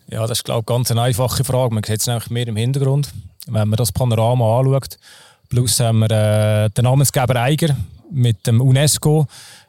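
A man with a slight Zurich accent speaks fairly quickly at medium pitch, his dark, mellow tone held in fairly even intonation. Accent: Zurich Swiss German, slight. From Switzerland, Zurich. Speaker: mountain guide and trail race organizer. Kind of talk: casual interview. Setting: outdoors on hotel terrace.

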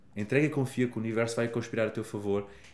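A man speaks with fairly even intonation. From Portugal. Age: 30s. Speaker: happiness coach. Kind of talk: casual chat.

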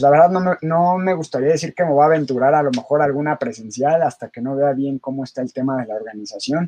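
Fairly quick speech from a man with a fairly high pitch and a dark, mellow tone, with ordinary pitch variation and hardly any pauses. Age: 30s. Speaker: fitness coach. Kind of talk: casual interview chat.

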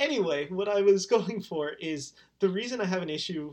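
A high-pitched man with an American accent and lively intonation. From California. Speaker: podcast host. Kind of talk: casual chat.

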